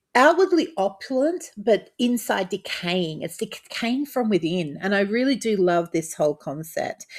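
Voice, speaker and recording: With an Australian accent, a woman speaks with hardly any pauses and very wide pitch swings on a very clean recording with a silent background. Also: medium pitch for a woman, moderate pace. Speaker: tabletop RPG content creator. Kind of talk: casual talk-to-camera overview. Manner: hesitant, many fillers.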